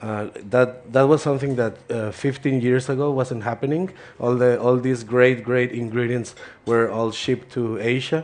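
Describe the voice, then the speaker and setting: Speaking with an American accent, a man uses a medium pitch, a moderate pace, and fairly even intonation. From Mexico, Ensenada, Baja California. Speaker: chef. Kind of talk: cooking presentation. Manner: halting, many repetitions.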